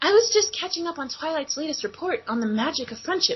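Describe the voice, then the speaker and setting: Using a put-on character voice, a woman speaks at an extremely high pitch and a very fast pace with very wide pitch swings. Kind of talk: comic fanfic reading. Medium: read story. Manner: sweet, old-sitcom wholesome.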